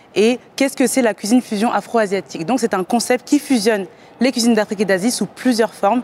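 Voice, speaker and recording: A woman speaks fairly quickly in a normal speaking voice, her pitch fairly high with ordinary variation. The sound is dry and close with no echo. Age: 20s. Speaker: entrepreneur pitching a startup. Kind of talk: startup pitch and interview.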